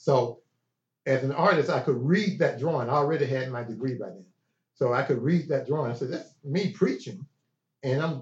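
With a Southern US accent, this voice moves at a fairly quick pace, somewhat breathy, with lively intonation. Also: man. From Chattanooga, Tennessee. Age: 60s. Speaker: art school founder. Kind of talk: casual interview. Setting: in person.

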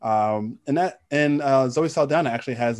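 A man with an American accent talks in a plain, everyday voice with ordinary pitch variation. The background is quiet. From New York City (Queens). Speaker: podcast co-host. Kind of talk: casual chat.

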